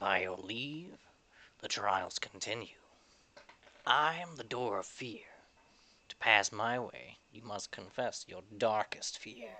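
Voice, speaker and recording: A man puts on a growling character voice at a medium pitch, moving at a fairly slow pace with lively intonation and big swings in loudness. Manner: ominous.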